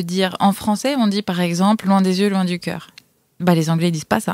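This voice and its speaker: A woman speaks fairly quickly in a normal speaking voice, her pitch varying in an ordinary way. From France. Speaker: photographer and traveler. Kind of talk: casual chat.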